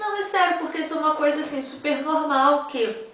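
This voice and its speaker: A woman is speaking amid noticeable background noise. Room echo is audible. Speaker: novelist and book vlogger. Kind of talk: casual vlog. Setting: at home.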